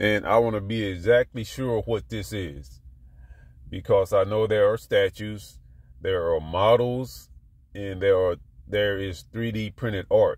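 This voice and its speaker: Fairly slow and fairly low in pitch, a man speaks in an animated tone with ordinary pitch variation. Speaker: collectibles YouTuber. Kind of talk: casual vlog talk.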